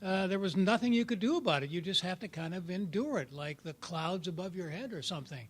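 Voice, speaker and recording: Talking very fast with hardly any pauses, a man uses a high pitch and lively intonation. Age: 70s. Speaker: workshop participant in recovery group. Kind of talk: sharing in a support group workshop. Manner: halting, with many fillers and repeats.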